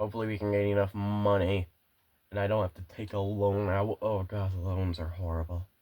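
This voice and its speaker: Dark and mellow, a man's voice moves at a fairly quick pace in a monotone, flat intonation, recorded very cleanly against a silent background. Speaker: gaming video creator. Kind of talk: gameplay commentary. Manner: halting, self-correcting.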